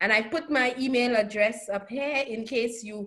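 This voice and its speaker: A woman with a Saint Lucian accent speaks in a fairly high pitch. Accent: Caribbean (Saint Lucian). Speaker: professor. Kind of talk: lecture.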